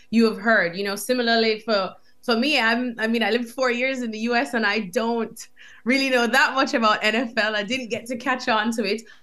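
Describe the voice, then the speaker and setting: Against a quiet background, a woman with an American accent speaks at a moderate pace, her tone bright and sharp and her pitch fairly high. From Jamaica. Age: young. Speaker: soccer TV host and reporter. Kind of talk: interview. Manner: animated.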